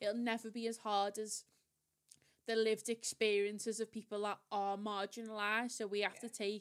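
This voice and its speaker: A woman speaks with a fairly high pitch at a moderate pace. Her intonation is monotone and flat. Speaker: podcast co-host, marketing professional. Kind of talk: casual chat. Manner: talkative.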